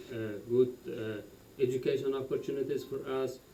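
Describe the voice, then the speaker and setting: A man talks at a moderate pace in a monotone, flat intonation, with noticeable background noise and audible room echo. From Afghanistan. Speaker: refugee adult learner, case manager. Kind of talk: interview. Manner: halting, many fillers.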